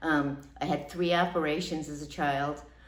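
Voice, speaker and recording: Through noticeable background noise and audible room echo, a woman speaks at a fairly slow pace with a very deep, low pitch. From US Northeast, Long Island New York. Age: 60s. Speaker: patient. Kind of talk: testimonial. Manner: hesitant with fillers.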